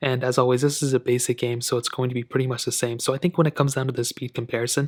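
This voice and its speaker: A man talks very fast at medium pitch in a monotone, flat way, somewhat breathy. The recording is very clean with a silent background and a dry, close sound with no echo. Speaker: tech reviewer. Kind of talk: tutorial. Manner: casual.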